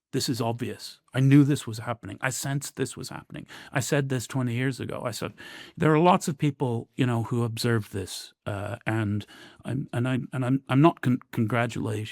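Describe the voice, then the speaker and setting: A man at medium pitch and a moderate pace, with ordinary pitch variation, on a very clean recording with a silent background and a dry, close sound free of echo. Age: 50s. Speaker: professor of war studies. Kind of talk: interview. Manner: halting, many fillers and repetitions.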